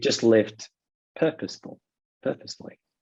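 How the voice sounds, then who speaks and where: A man speaks with a British accent in a dark, mellow tone. His pace is fairly quick. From Britain. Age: 30s. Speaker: author interviewed as podcast guest. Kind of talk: casual interview chat.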